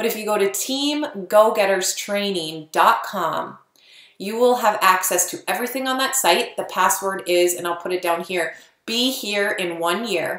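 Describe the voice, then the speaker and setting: Her voice sits at a medium pitch for a woman with ordinary pitch variation. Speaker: network marketing coach. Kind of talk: tutorial. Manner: fast; casual.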